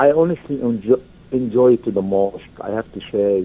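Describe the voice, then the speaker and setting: The speaker has an Arabic accent. The pace is moderate. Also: man. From Egypt. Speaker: university alumnus. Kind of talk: interview. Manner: halting, many fillers.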